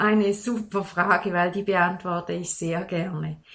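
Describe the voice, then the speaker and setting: A woman speaks at a very slow pace in a bright, sharp tone. Her pitch is medium, with ordinary variation. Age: 40s. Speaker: life coach. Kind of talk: interview.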